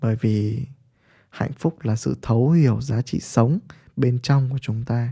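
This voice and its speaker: At a fairly slow pace, a man with a medium pitch speaks in a dark, mellow, somewhat breathy tone with fairly even intonation, on a very clean recording with a silent background. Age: 30s. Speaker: podcaster and business mentor. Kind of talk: monologue talk.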